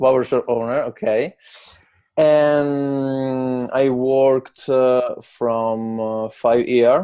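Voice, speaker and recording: A man with an Italian accent, medium pitch, fairly even intonation and a very slow pace. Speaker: barbershop owner, English learner. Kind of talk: interview. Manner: halting, many fillers.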